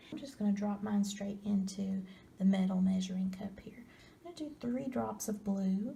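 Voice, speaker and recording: A soft-spoken, somewhat breathy woman at medium pitch, dark and mellow in tone, with ordinary pitch variation, big swings in loudness and a moderate pace. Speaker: ASMR crafter. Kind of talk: ASMR craft tutorial.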